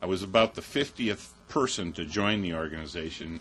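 A man speaks with an Upper Midwest accent in a very deep, low voice, at a moderate pace with ordinary pitch variation. Music plays in the background. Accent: Upper Midwest American. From Chippewa Valley, Wisconsin. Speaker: peace activist, military parent. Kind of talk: personal testimony talk. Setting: mosque event with audience.

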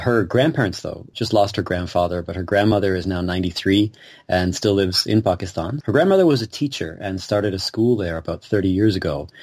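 A man's fairly low-pitched, fairly quick delivery in an ordinary speaking voice, with ordinary pitch variation and hardly any pauses. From Canada, Kitchener, Ontario. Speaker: musician. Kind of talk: interview. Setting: video call.

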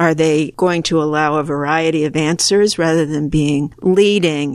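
Here a woman speaks with an American accent. Her pitch is very deep and low, with fairly even intonation. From US Northeast, suburban Philadelphia. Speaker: sociologist and policy advocate. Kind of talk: interview. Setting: in person at a conference.

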